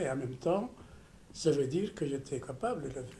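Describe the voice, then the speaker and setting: This man talks at a fairly quick pace with ordinary pitch variation, his voice fairly high in pitch and somewhat breathy. His tone is dark and mellow, and there is audible room echo. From Ethiopia, rural mountains. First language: Amharic or other Ethiopian language (speaking French). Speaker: surgeon. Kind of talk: personal testimony. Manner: halting, with repetitions.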